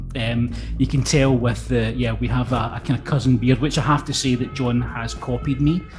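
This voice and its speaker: A man at a moderate pace with hardly any pauses, music playing in the background. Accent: Lanarkshire. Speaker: interviewer. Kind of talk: casual interview. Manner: halting, many repetitions.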